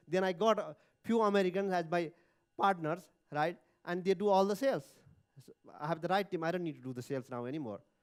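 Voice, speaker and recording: Talking at a very fast pace broken by long, frequent pauses, a man with a Nepali accent uses a high pitch and ordinary pitch variation. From Nepal, Dhading. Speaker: entrepreneur. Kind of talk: speech. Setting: stage with audience. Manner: halting.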